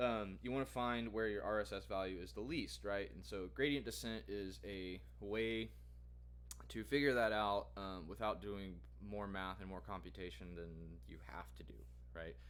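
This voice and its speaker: In a room with audible echo, a man talks at a very deep, low pitch with very wide pitch swings. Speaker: student vlogger. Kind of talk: tutorial. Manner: fast; halting, many fillers.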